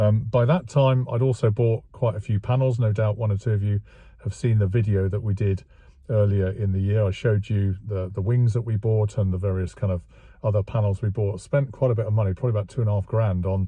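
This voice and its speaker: A somewhat breathy voice in an English accent, dark, mellow tone, fairly quick and fairly even, dry with no echo against a quiet background. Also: man, fairly low pitch for a man. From England. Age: 60s. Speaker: classic car restoration vlogger. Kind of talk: casual vlog monologue. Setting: outdoors. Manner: hesitant, many fillers. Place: car. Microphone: phone near.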